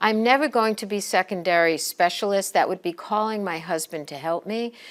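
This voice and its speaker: In a very clean recording with a silent background, a woman uses a plain, everyday voice at medium pitch, with ordinary pitch variation and a fairly quick pace. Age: 60s. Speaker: professor and program director. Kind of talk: recorded presentation. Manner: conversational.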